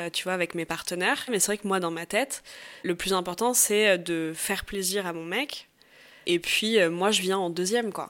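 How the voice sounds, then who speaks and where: The recording is very clean, and the background is silent. A woman talks at a medium pitch, her pitch varying in an ordinary way. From Paris, France. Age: 20s. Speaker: interviewee sharing personal story. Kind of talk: personal testimony. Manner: hesitant, many fillers.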